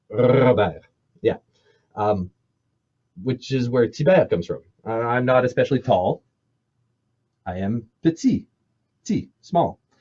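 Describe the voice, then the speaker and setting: A man talks with a dark, mellow, somewhat breathy tone at a medium pitch and lively intonation. His pace is fairly slow, with long, frequent pauses, and the sound is dry and close with no echo. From Manitoba, Canada (French Canadian Métis family). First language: French. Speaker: storyteller and cultural presenter. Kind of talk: cultural presentation, storytelling. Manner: casual, conversational with hesitations.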